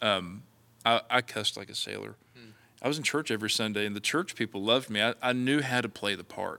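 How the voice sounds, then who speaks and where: Talking at a fairly quick pace with an Appalachian accent, a man uses a medium pitch and ordinary pitch variation, his tone bright and sharp. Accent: Appalachian American. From West Virginia. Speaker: evangelist. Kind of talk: interview.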